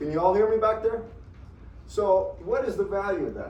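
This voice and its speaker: Room echo is audible as a man talks over noticeable background noise. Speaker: engineering professor. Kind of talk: lecture. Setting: classroom.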